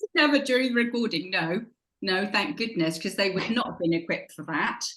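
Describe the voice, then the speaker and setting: With lively intonation and a medium pitch, a woman has an unremarkable speaking voice. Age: 60s. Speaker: habit coach. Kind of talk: podcast interview.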